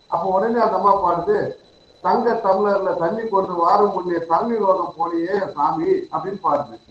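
Against noticeable background noise, a man speaks in a high voice with ordinary pitch variation. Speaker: college principal asking questions. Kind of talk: question from audience.

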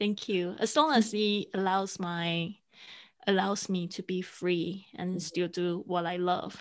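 At a very slow pace, a woman with a Mandarin accent speaks at medium pitch with fairly even intonation. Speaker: podcasting coach and producer. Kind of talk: interview. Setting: remote call. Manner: halting.

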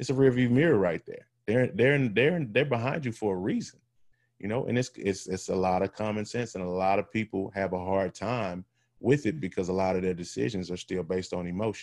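Here is a man with an ordinary speaking voice, fairly low in pitch with ordinary pitch variation. He talks at a fairly quick pace against a quiet background. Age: 40s. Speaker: former pro football player and nonprofit leader. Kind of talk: interview.

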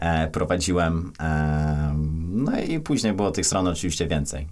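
The speaker is a man. His voice sits very deep and low. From western Poland (Kościan, near Poznań). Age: 20s. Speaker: programmer. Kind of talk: casual interview chat.

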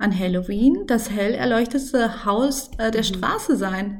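Audible room echo surrounds a woman speaking very slowly in a somewhat breathy voice. Her pitch is fairly high, with ordinary variation. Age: 30s. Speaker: mother and Instagram content creator. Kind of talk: casual interview.

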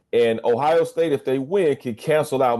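This man has an unremarkable speaking voice. He talks at a moderate pace with lively intonation. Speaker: radio host. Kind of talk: radio show banter and commentary. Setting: studio.

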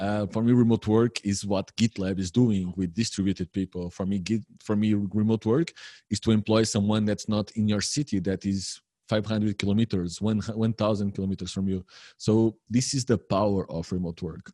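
A man with a Portuguese accent speaks at a moderate pace in a fairly low pitch, with a dark, mellow tone and fairly even intonation. The sound is dry and close with no echo, over a quiet background. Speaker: remote work consultant. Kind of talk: interview.

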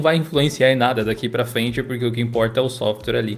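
A man speaks with music playing in the background. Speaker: tech podcast co-host and Linux video creator. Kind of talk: casual chat.

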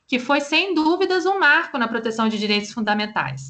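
Her voice is fairly high for a woman, with a bright, sharp tone. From Brazil, Vitória, Espírito Santo. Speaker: law professor. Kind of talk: interview.

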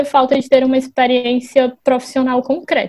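The voice belongs to a woman and sits at a high pitch. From Brazil, Fortaleza (Ceará). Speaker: company employee. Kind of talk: casual interview. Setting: remote recording from home.

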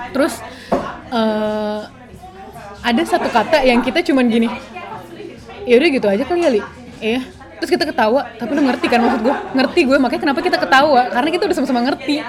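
Amid noticeable background noise and audible room echo, a woman with a high voice talks very fast with lively intonation and long, frequent pauses. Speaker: podcast co-host. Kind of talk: casual chat.

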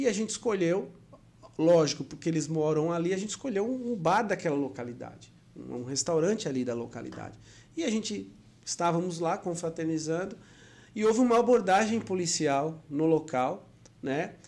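A man talks in a high voice at a moderate pace. His intonation is lively. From Maceió, Brazil (born São Paulo). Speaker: consumer protection lawyer. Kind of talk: interview.

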